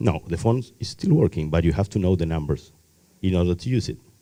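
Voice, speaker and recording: Lively intonation marks this man's speech. His tone is dark and mellow, with a non-native accent. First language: not English. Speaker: technology workshop presenter. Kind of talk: lecture. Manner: halting.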